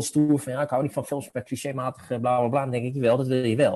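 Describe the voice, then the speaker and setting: Dark and mellow in tone, a man's medium-pitched voice keeps a fairly even intonation at a moderate pace. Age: 40s. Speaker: film educator. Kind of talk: casual chat.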